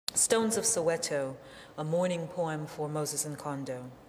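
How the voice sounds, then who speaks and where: Fairly slow speech from a woman over noticeable background noise. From New Orleans. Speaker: poet. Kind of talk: poetry reading.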